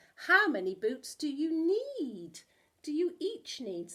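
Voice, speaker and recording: A woman puts on a squeaky character voice, high-pitched with very wide pitch swings, at a fairly slow pace. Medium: read story.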